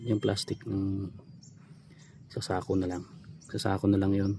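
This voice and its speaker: A man's voice has a dark, mellow tone and is somewhat breathy. He speaks at a fairly slow pace. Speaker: vlogger. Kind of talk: casual vlog narration.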